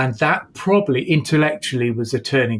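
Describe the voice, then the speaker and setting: A man talks at a moderate pace and medium pitch. His somewhat breathy voice carries lively intonation. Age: 60s. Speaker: entrepreneurship professor. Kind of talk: interview conversation.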